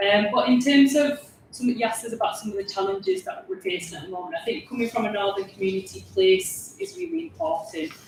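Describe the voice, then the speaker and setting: Talking at a very fast pace with hardly any pauses, a woman with a strong Yorkshire accent uses a medium pitch and very wide pitch swings over noticeable background noise. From Yorkshire, Huddersfield. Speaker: parliamentary candidate. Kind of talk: panel discussion.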